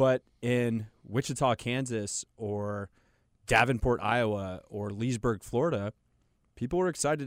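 With an American accent, a man speaks in a normal speaking voice at a medium pitch with ordinary pitch variation, captured in a very clean recording with a silent background. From Charlotte, North Carolina. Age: 30s. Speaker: real estate investor. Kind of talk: interview. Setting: studio.

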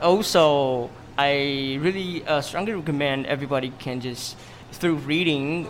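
Over noticeable background noise and audible room echo, a man with a Mandarin accent talks at a moderate pace in a fairly high pitch with ordinary pitch variation. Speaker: English teacher and study group organizer. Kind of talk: interview. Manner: halting.

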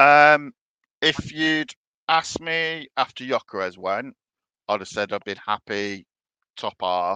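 Over a quiet background, a man with a Birmingham accent speaks in a bright, sharp tone. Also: dry, close sound with no echo. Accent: Brummie. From English Midlands, Birmingham area. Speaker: football fan guest. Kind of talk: casual chat.

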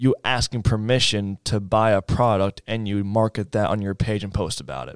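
A man with an American accent and an unremarkable speaking voice, fairly low in pitch, at a moderate pace, in a very clean recording with a silent background and a dry, close sound with no echo. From Raleigh, North Carolina. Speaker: social media marketer. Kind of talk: casual interview. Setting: studio.

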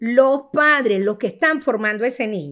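A woman speaks with lively intonation. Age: 70s. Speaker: host's mother. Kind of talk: casual chat.

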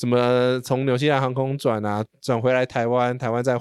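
A man's voice at a medium pitch and a moderate pace. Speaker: travel podcast host. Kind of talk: casual chat.

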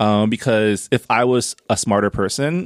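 In a normal speaking voice, a man talks at a fairly low pitch with ordinary pitch variation, the sound dry and close with no echo. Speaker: nonprofit director and podcaster. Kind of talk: casual chat.

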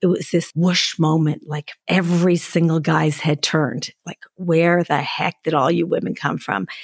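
In a normal speaking voice, a woman talks at a moderate pace, her fairly low pitch showing ordinary variation. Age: 60s. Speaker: business executive. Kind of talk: interview.

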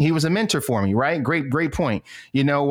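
In an ordinary speaking voice, a man with an American accent talks at a fairly quick pace with fairly high pitch on a very clean recording with a silent background. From Flint, Michigan, US Midwest. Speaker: Army veteran and entrepreneur. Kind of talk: interview.

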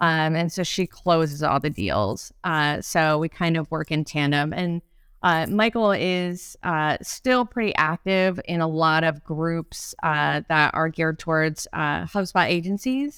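In a very clean recording with a silent background, a woman with a plain, everyday voice speaks fairly slowly with hardly any pauses, using a fairly low pitch and ordinary pitch variation. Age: 40s. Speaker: entrepreneur, co-founder of a back office support business. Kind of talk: casual interview conversation.

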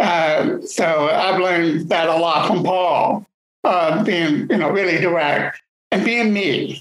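The speaker has a Southern US accent, a very slow pace, very even loudness and ordinary pitch variation. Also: man, high pitch for a man. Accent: Southern US, with deaf speech features. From Texas. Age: 60s. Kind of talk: interview storytelling. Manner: loud when excited.

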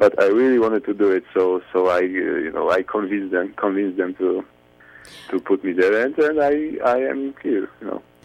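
A man with a Polish accent speaks at a moderate pace, with fairly low pitch and lively intonation. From Poland. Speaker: jazz violinist and composer. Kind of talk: interview. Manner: halting, many repetitions.

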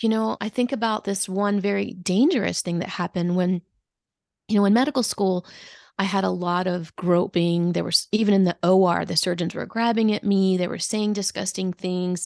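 An ordinary speaking voice, a woman with an American accent talks at a medium pitch and a moderate pace with fairly even intonation. The sound is dry and close with no echo, over a quiet background. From New Jersey. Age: 50s. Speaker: physician and wellness coach. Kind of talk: interview.

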